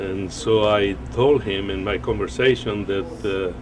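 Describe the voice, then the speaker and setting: With music in the background and audible room echo, a man talks in a lively intonation. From Argentina. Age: 70s. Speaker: competitive bench presser. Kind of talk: documentary interview.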